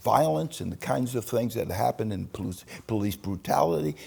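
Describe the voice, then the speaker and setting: With an American accent, a man talks at a moderate pace in a dark, mellow tone, his pitch swinging very widely over a layer of vocal fry. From New York, Long Island (Manhasset). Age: 80s+. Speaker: retired pastor and civil rights activist. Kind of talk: interview testimony. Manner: halting, frequent repetitions and false starts.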